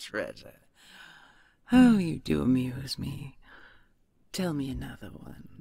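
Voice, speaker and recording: Putting on a character voice, a woman speaks very deep and low, with long, frequent pauses. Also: fairly slow pace. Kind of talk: audio roleplay.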